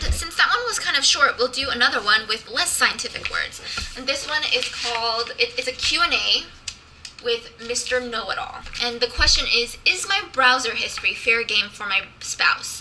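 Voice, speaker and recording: With music in the background, a woman talks at a moderate pace in a high voice with lively intonation. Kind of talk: reading articles aloud. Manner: stutters and stumbles at times.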